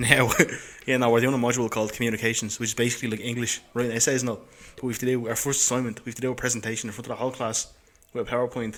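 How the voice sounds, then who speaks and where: Very fast speech from a man with an Irish accent, monotone and flat in intonation. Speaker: podcast co-host. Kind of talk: casual chat.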